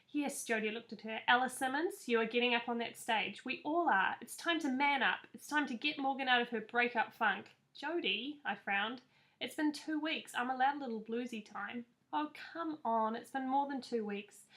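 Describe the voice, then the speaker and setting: In a New Zealand accent, a woman with a high pitch and ordinary pitch variation speaks at a moderate pace. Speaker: author. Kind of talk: reading aloud; casual chat.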